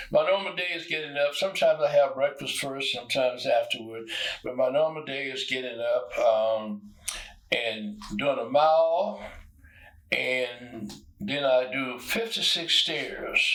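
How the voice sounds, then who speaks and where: Amid noticeable background noise, a man uses lively intonation at a fairly slow pace. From US South (Arkansas). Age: 90s. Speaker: retired poet and musician. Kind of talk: interview.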